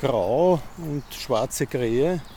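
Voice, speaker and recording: This man speaks at a fairly high pitch. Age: 50s. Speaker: amateur ornithologist. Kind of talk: casual interview on a walk. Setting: outdoors in a park. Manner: halting, many fillers.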